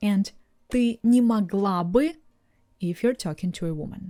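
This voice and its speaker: On a very clean recording with a silent background, a woman with a Russian accent speaks at a fairly slow pace in a dark, mellow tone with lively intonation. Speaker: language teacher. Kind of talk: tutorial. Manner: clear, deliberate.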